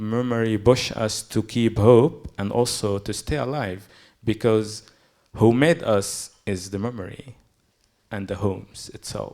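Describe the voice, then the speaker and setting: On a very clean recording with a silent background, a man with a Palestinian accent speaks at a fairly slow pace, his fairly low voice dark and mellow with ordinary pitch variation. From Gaza, Palestine. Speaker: poet. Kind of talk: panel talk.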